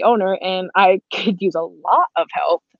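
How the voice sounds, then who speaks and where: The speaker uses an American accent with ordinary pitch variation. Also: woman. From US, Boston. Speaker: photographer. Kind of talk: casual chat.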